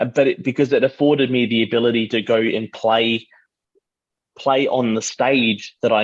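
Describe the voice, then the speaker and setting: An Australian accent marks this man's speech. His pitch is medium, with ordinary pitch variation. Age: 30s. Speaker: artist and musician. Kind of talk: casual chat.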